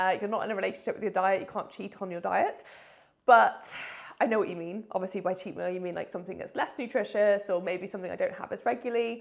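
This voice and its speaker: Talking very fast, a woman uses a medium pitch. She speaks with a British accent. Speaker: online fitness coach. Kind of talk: casual vlog chat. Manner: animated.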